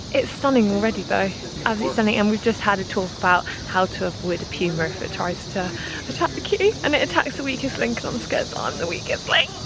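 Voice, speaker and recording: A woman with a British accent talks at a very fast pace and a medium pitch, with lively intonation. Noticeable background noise runs underneath. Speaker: travel vlogger. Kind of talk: travel vlog. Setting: outdoors in jungle.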